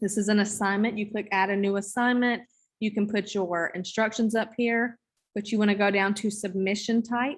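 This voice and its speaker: In a quiet background, a woman with a Southern US accent speaks at a medium pitch, somewhat breathy, with monotone, flat intonation. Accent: Southern drawl. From US South. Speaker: teacher trainer. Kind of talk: online training session. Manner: casual. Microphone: video call.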